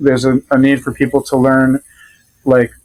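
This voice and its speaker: A man with an American accent and a fairly high pitch, in a dry, close sound with no echo. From Rhode Island, US. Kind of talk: casual interview chat. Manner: hesitant, many fillers.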